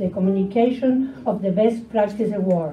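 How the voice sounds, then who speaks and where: A woman with a Spanish accent speaks at a fairly slow pace with ordinary pitch variation, and room echo is audible. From Argentina. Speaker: museum education award coordinator. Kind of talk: conference talk, partly read aloud. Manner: halting.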